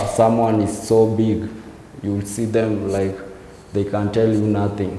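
A man with a fairly low voice speaks very slowly, with audible room echo and light background noise. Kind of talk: interview answer. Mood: reflective, subdued.

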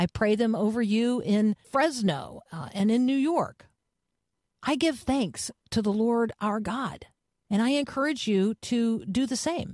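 A woman with an unremarkable speaking voice, fairly high in pitch, at a fairly slow pace, lively intonation, dry and close with no echo. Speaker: radio host. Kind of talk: devotional radio talk with prayer. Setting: radio studio. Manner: fervent, earnest, warm.

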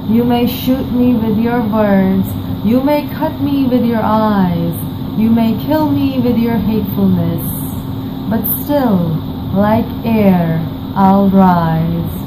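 A woman speaks at a very slow pace through loud background noise. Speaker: poetry reciter. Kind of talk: poetry reading. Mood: playful, confident, smiling. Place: home room. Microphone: webcam.

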